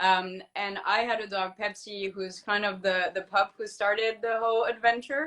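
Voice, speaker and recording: At a moderate pace and with hardly any pauses, a woman speaks in a medium-pitched voice with a bright, sharp tone and fairly even intonation. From France. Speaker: veterinarian and company co-founder. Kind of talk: casual interview.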